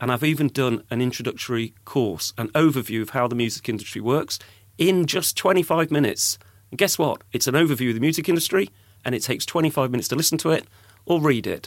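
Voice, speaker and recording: A man with an English accent and a fairly high pitch, very fast pace and ordinary pitch variation, in a very clean recording with a silent background. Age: 50s. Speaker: podcast host and music industry veteran. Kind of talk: casual interview.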